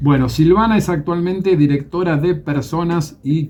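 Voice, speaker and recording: At a fairly slow pace, a man speaks in a somewhat breathy voice with ordinary pitch variation. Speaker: radio host. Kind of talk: radio interview.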